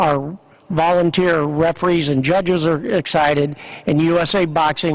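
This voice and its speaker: The speaker has a Midwestern American accent. The pace is moderate and the intonation fairly even. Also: man. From Kansas. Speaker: sports organization executive. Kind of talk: press conference speech. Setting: convention center news conference.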